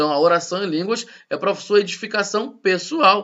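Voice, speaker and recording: Moderately paced speech from a man, high in pitch with ordinary pitch variation. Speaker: pastor teaching a church course. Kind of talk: recorded church class lecture. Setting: recorded at home.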